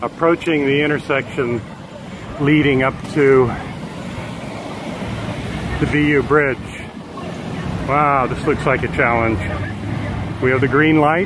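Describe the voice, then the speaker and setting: The speech has long, frequent pauses and a dry sound with no echo. Noticeable background noise runs underneath. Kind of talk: live commentary. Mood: frustrated, sarcastic. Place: bicycle.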